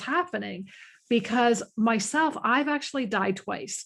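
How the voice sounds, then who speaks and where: A woman with fairly high pitch and lively intonation speaks at a fairly slow pace, an ordinary speaking voice. The recording is very clean, with a silent background. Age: 50s. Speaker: animal communicator. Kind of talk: interview. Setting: podcast.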